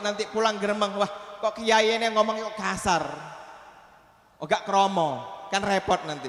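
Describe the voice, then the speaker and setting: Noticeable background noise sits behind this speaker. He is a man with a high-pitched voice. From Aceh, Indonesia. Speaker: Islamic preacher. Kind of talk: sermon.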